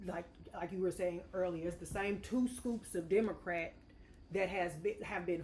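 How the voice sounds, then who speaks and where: A woman with a normal speaking voice and an American accent talks at a moderate pace in a fairly low pitch. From St. Louis area, Missouri. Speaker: state legislator. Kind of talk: podcast discussion.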